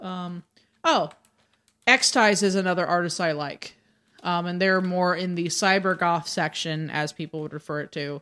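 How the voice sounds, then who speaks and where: A woman with a fairly low voice speaks at a moderate pace in a bright, sharp tone and fairly even intonation. The recording is very clean, with a silent background. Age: 30s. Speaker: drag performer and goth. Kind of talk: casual chat. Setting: studio.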